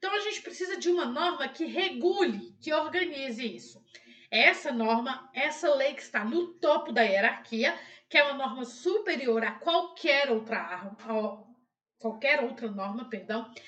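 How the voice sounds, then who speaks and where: Her high voice swings very widely in pitch as the woman speaks at a fairly slow pace. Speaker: law professor. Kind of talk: educational lecture on constitutional law. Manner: clear, friendly, didactic.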